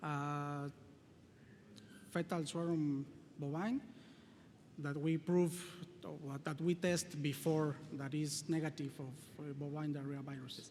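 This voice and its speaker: This man talks at a fairly slow pace with a Spanish accent, leaving long, frequent pauses. His pitch is fairly high and his intonation stays fairly even. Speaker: veterinary researcher. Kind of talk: conference presentation and Q&A. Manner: halting.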